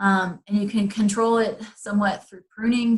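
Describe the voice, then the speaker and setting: A woman speaks at a medium pitch with monotone, flat intonation. Her voice is somewhat breathy. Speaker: garden educator. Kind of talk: webinar presentation. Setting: online webinar. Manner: fast; hesitant with fillers.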